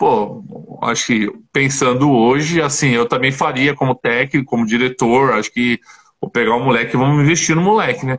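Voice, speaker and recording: His pitch is fairly high and varies in an ordinary way. This man has a normal speaking voice. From Paraná and interior São Paulo, Brazil. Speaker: former professional basketball player. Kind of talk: casual interview.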